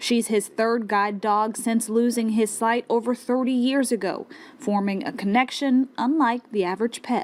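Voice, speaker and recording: In an ordinary speaking voice, a woman with a fairly high pitch talks at a moderate pace with fairly even intonation, very even loudness and hardly any pauses. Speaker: TV news reporter and anchor. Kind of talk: TV news reporting.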